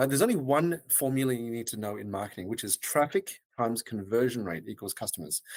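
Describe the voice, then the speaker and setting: At a very fast pace, a man with an Australian accent speaks at a medium pitch with lively intonation, in a very clean recording with a silent background. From Australia, Melbourne. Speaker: web design agency founder. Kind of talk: podcast interview. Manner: hesitant with fillers.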